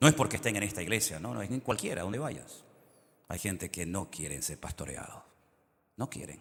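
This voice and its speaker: A man talks at a fairly quick pace and a fairly low pitch, with very wide pitch swings. His loudness swings a lot, and he takes long, frequent pauses. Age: 60s. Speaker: pastor. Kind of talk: sermon.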